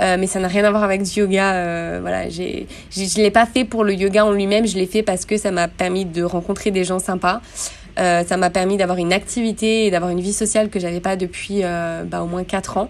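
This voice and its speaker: Against noticeable background noise, a woman of medium pitch speaks at a fairly quick pace in a monotone, flat intonation. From France, Grenoble. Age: 30s. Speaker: yoga teacher. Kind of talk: casual interview.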